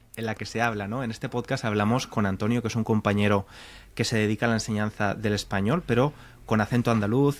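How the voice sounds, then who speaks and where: Very fast, medium-pitched speech from a man, recorded very cleanly against a silent background. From Valencia, Spain. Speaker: podcast host and Spanish teacher. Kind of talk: interview.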